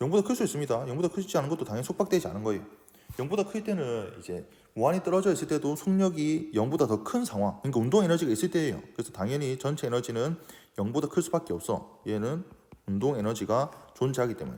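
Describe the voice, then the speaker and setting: A man's very fast delivery with very wide pitch swings, a fairly high pitch and a dark, mellow tone. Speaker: physics teacher. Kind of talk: lecture. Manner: halting.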